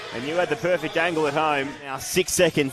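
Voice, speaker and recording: Noticeable background noise sits behind this voice. The speaker is a man with a fairly high pitch. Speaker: basketball commentator. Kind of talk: live sports play-by-play commentary.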